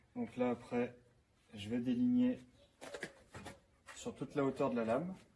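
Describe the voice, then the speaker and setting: Spoken at a fairly slow pace with fairly even intonation, the voice sits over noticeable background noise. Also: man, medium pitch for a man. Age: 20s. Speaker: carpenter reviewing a power tool. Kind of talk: product demonstration. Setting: workshop. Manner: casual with fillers.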